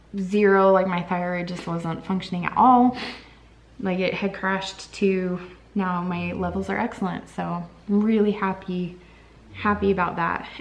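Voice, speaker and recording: A fairly slow, monotone, flat delivery over noticeable background noise. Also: woman, medium pitch for a woman. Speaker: vlogger. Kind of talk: casual vlog update. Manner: halting.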